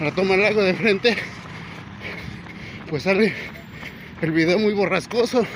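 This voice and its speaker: Over noticeable background noise, a man with a high pitch speaks at a fairly slow pace, showing ordinary pitch variation. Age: 60s. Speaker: vlogger and amateur runner. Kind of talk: casual vlog narration while jogging. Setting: outdoors on a seaside boardwalk.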